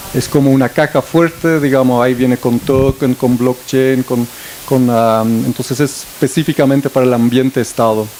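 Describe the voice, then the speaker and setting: A man's fairly even intonation against noticeable background noise. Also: medium pitch for a man, moderate pace, very even loudness. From Belgium. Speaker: director of a digital transformation network, panelist. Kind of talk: panel discussion. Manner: hesitant, many fillers and restarts.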